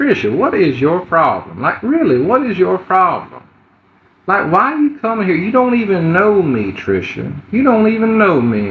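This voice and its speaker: This man has a high pitch. His voice swings very widely in pitch. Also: moderate pace. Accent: American. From US Gulf Coast. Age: 20s. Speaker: livestreamer asking for donations. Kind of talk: livestream chat. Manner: hesitant, many fillers.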